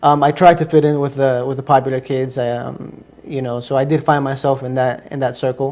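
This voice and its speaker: Hardly pausing at all, a man talks at a medium pitch in a Spanish accent with monotone, flat intonation. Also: fairly quick pace. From US, Ecuadorian family. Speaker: interview guest, convert to Islam. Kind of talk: interview testimony. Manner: hesitant, many fillers.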